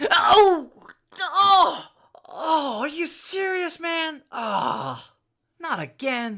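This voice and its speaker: A put-on character voice speaks at an extremely high pitch and a very slow pace. Long, frequent pauses break up the delivery. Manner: pained, reacting to being shot.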